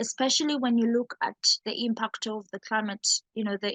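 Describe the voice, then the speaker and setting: Fairly quick and somewhat breathy, a woman's fairly high voice stays monotone and flat, the sound dry and close with no echo. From Uganda. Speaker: climate activist. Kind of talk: interview answer.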